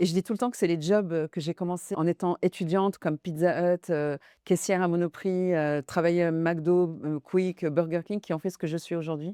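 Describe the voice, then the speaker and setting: In a fairly low pitch, a woman speaks at a moderate pace with fairly even intonation and a dark, mellow tone. The sound is dry and close with no echo, and the background is quiet. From France (arrived from Syria/Lebanon at age 8). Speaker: finance executive and women-in-tech network director. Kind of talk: interview. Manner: hesitant, many fillers.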